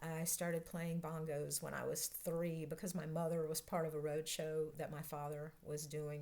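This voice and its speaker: With a Southern US accent, a woman speaks at a moderate pace. Her very deep, low pitch stays monotone and flat. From North Carolina. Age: 60s. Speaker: vlogger, process analyst coach. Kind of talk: casual vlog self-introduction.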